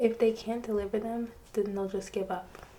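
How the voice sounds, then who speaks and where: A woman speaks in a medium pitch at a moderate pace. Her intonation is monotone and flat. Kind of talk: audiobook-style reading of a novel, with character dialogue. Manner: soft-spoken, sometimes drifting into a whisper.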